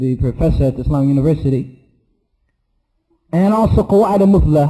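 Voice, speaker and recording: A man's fairly high voice comes across somewhat breathy, with a dark, mellow tone. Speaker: Islamic teacher. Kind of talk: lecture.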